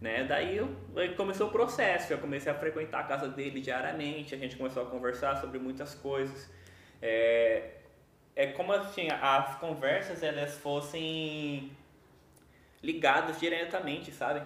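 A man speaks with long, frequent pauses. Noticeable background noise and audible room echo are in the recording. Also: fairly high pitch for a man, ordinary pitch variation, moderate pace. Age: 20s. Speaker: young evangelical church minister. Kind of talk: casual chat, personal testimony.

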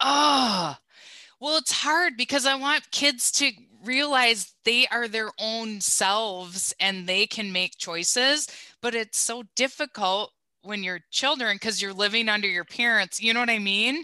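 A woman speaks loudly at a fairly slow pace, her fairly high voice bright and sharp, with a dry, close sound free of echo against a quiet background. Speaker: company president, recruiter. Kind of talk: casual interview. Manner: loud, animated.

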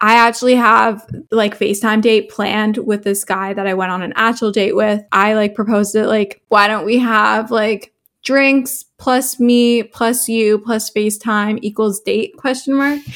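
A plain, everyday voice from a woman, fairly high in pitch and fairly slow, with fairly even intonation on a very clean recording with a silent background. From Canada, Toronto. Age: 20s. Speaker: lifestyle content creator and student. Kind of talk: casual interview chat.

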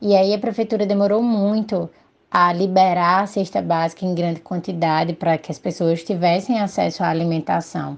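A woman with a plain, everyday voice speaks at a fairly low pitch and moderate pace, her intonation fairly even against a quiet background. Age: 30s. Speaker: social worker. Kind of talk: interview.

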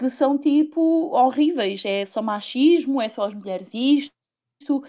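At a fairly slow pace, a woman with a high pitch and a dark, mellow tone speaks against a quiet background. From Portugal, Viseu. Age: 30s. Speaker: podcast guest. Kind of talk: casual chat.

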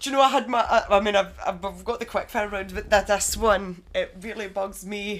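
A woman with an unremarkable speaking voice and medium pitch talks at a moderate pace with hardly any pauses and fairly even intonation. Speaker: newly qualified personal trainer. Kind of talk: casual chat.

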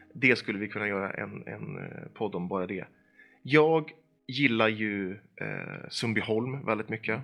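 Music plays behind a man who talks at a moderate pace and medium pitch with ordinary pitch variation. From Sweden, Eskilstuna. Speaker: organization manager and opinion writer. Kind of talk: casual chat. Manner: hesitant, many fillers and repeated words.

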